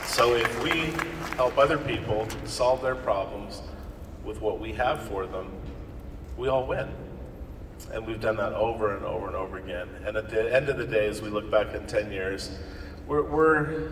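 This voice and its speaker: A man with an American accent at a moderate pace, with long, frequent pauses, noticeable background noise and audible room echo. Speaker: network marketing distributor. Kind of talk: motivational talk. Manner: loud; animated.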